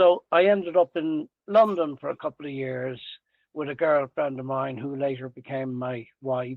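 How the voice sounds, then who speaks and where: With a Dublin accent, a man talks at a moderate pace. His pitch is fairly high, with ordinary variation. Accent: Irish (Dublin). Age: 80s+. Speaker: retired tradesman and salesman. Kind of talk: podcast interview. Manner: halting.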